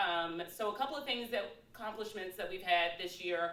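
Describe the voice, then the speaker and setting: A woman with an American accent, medium pitch, ordinary pitch variation and a moderate pace, with audible room echo. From East Texas. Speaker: committee co-chair. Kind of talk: short speech at meeting.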